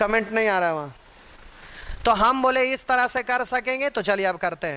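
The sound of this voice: Bright and sharp yet clear and smooth in tone, a man talks at a moderate pace and high pitch with lively intonation.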